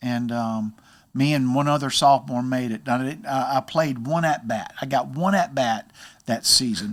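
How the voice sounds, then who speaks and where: A man with an unremarkable speaking voice talks at a fairly quick pace, with medium pitch and ordinary pitch variation, on a very clean recording with a silent background. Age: 60s. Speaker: baseball hitting coach. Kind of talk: casual interview, personal testimony.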